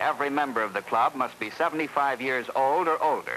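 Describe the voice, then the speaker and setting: There is noticeable background noise as a man talks at a moderate pace with lively intonation. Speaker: television host. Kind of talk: vintage TV feature narration.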